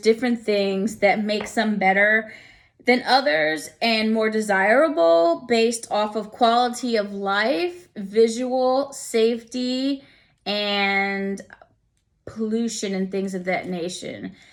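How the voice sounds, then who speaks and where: With an American accent and a plain, everyday voice, a woman speaks fairly slowly at a fairly high pitch, using ordinary pitch variation on a very clean recording with a silent background. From New York. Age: 40s. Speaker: student presenting a portfolio. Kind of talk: casual presentation walkthrough. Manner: conversational.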